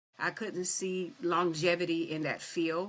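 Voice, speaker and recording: A woman with an American accent and an unremarkable speaking voice talks at a moderate pace, her fairly low pitch held to fairly even intonation. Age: 60s. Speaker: retired prison administrator. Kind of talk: interview.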